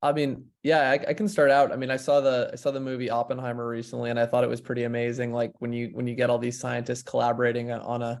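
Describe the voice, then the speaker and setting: At a very fast pace with hardly any pauses, a man speaks in a flat monotone at a medium pitch on a very clean recording with a silent background. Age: 20s. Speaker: biotech DAO co-founder. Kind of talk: panel discussion. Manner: halting, many fillers and restarts.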